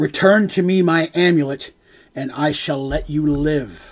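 At a moderate pace, the speaker delivers lines in a put-on character voice. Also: man, fairly high pitch for a man. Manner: menacing, commanding.

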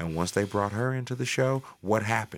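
Heard in a very clean recording with a silent background, a man with an American accent talks fairly quickly at a fairly low pitch, his tone bright, sharp and animated, with ordinary pitch variation. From St. Louis, Missouri (North City). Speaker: musician / rapper. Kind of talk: casual chat. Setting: studio.

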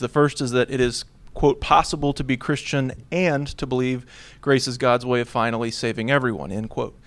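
A man with an American accent and an unremarkable speaking voice talks fairly quickly at medium pitch with ordinary pitch variation. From US (Texas, Oklahoma, Washington, Alaska). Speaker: theology lecturer. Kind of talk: academic paper reading. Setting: conference panel with audience.

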